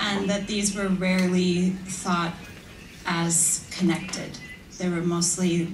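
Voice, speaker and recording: A woman's fairly low voice with an American accent and flat, monotone intonation, plus audible room echo and noticeable background noise. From United States. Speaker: academic. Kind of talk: conference talk. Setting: stage with audience.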